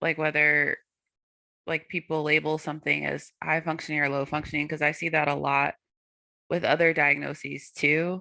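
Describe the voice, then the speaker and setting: A woman's very deep, low voice with a bright, sharp tone and an American accent, dry and close with no echo, on a very clean recording against a silent background. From US South, North Carolina. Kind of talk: panel discussion.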